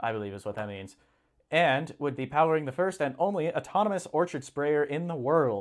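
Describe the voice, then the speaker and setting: On a very clean recording with a silent background, a man with a fairly high voice talks at a moderate pace, his pitch swinging very widely. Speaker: livestream host reading farm news. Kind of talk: casual live stream, reading articles aloud with commentary.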